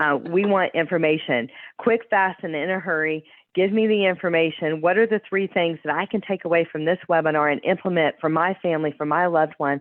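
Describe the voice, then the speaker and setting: Fairly quick, a woman speaks with ordinary pitch variation in a fairly low voice. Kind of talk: webinar presentation. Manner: fast.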